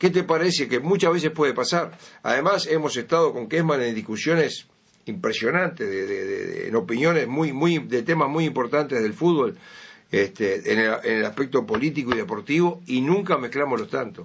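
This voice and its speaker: Using an unremarkable speaking voice, a man talks at a moderate pace with a fairly high pitch and lively intonation. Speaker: sports radio presenter. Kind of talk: interview.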